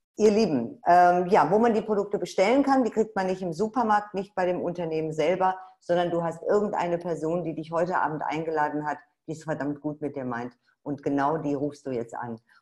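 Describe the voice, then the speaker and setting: A woman's fairly low voice, fairly quick and lively in intonation, over a quiet background. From Ruhr area, Dortmund; Ruhr area, Germany. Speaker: webinar host, network marketer; presenter. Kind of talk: sales webinar. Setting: online webinar. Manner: animated. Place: home room. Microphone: webcam.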